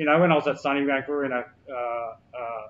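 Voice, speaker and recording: This man talks at a very fast pace with an Australian accent. His intonation stays fairly even. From Australia, Brisbane south side. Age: 40s. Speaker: hip hop artist and youth mentor. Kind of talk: interview. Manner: casual, halting with fillers.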